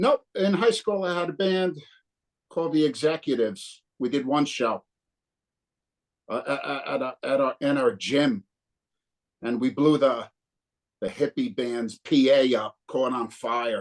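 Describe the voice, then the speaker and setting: A man with a New Jersey accent, fairly high pitch and lively intonation, at a fairly slow pace with long, frequent pauses, in a dry, close sound with no echo. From northern New Jersey. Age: 60s. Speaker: punk guitarist. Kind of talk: casual interview.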